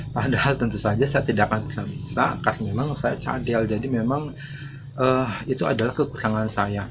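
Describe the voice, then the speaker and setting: With noticeable background noise behind him, a man speaks at a medium pitch. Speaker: YouTube channel owner, vlogger. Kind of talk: motivational monologue to viewers. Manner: halting, many filler sounds.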